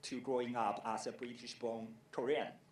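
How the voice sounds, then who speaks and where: A man speaks fairly slowly at a medium pitch, with audible room echo. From Taiwan. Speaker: film festival director. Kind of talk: conference presentation. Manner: hesitant, many fillers.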